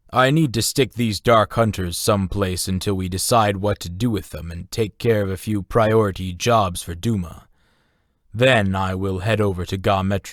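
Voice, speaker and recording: A man uses a put-on character voice at a fairly low pitch, moving at a moderate pace with fairly even intonation. The recording is very clean and dry, close-sounding with no echo and a silent background. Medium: read story. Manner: terse, measured.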